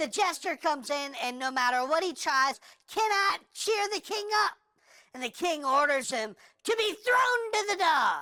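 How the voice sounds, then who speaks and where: A cartoonish character voice, extremely high in pitch, delivers a deadpan tone at a moderate pace. Its pitch swings very widely. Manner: chatty, deadpan storytelling.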